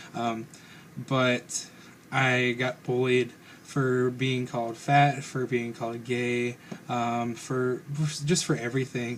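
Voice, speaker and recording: A man at a medium pitch, very slow and monotone, with long, frequent pauses and flat intonation amid noticeable background noise. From Northern Kentucky, Carroll and Owen counties. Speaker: vlogger. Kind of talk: personal vlog monologue. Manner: hesitant, many fillers.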